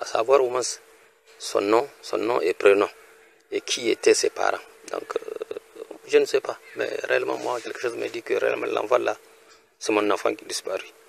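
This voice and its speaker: Dry and close with no echo, a man's speech comes with long, frequent pauses over noticeable background noise. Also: moderate pace. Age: 60s. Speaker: retired research technician. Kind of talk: personal appeal. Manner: halting.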